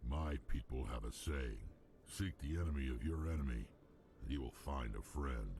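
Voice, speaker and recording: Over clear background noise, a man puts on a character voice at a moderate pace, pitched very deep and low. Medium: video game. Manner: blunt, menacing.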